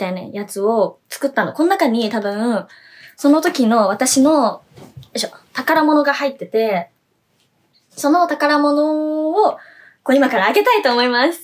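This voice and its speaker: At a moderate pace, a woman's voice moves through very wide pitch swings. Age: 20s. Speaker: idol singer. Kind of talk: solo web radio vlog. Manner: animated. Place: home room. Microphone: phone near.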